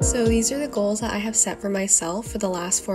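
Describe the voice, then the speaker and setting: Noticeable background noise accompanies a woman who talks fairly quickly. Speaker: student. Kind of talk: casual vlog talk to camera.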